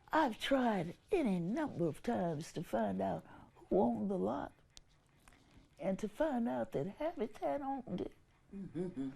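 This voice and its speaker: Speaking at a fairly slow pace, a woman uses a medium pitch with very wide pitch swings, a dark, mellow tone and vocal fry. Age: 80s+. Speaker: activist. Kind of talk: interview answer.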